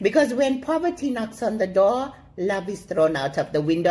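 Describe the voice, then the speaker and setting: A woman with a South African accent in an animated tone, with very wide pitch swings, at a moderate pace. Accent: Durban South African English. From South Africa, Durban. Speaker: comedic character guest. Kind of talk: comedic monologue.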